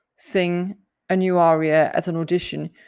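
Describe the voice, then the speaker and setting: The recording is very clean, with a silent background. A woman with a fairly low pitch speaks at a fairly slow pace. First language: not English. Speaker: podcast host, singer. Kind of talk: solo podcast monologue. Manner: hesitant, many fillers and laughs.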